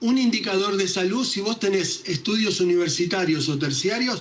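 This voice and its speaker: A man talks in a high pitch. Noticeable background noise runs behind him. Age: 60s. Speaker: physician and science communicator. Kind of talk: interview.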